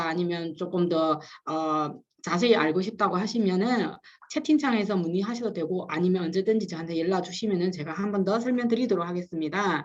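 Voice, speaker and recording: A woman's medium pitch shifts in an ordinary way as she talks at a moderate pace. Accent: Chinese. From China. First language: Chinese (speaking Korean). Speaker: business consultant giving a webinar lecture. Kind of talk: lecture. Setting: live online webinar with chat. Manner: halting, many fillers and restarts.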